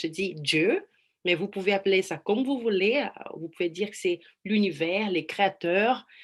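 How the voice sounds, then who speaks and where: Against a quiet background, a woman speaks at medium pitch with a Brazilian accent. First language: Portuguese (speaking French). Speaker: life coach. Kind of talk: online presentation. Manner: halting.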